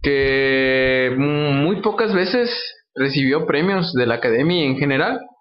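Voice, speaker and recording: Amid audible room echo, a man talks at a very slow pace and a fairly high pitch, with lively intonation and very even loudness. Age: 20s. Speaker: film podcast guest. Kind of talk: casual chat.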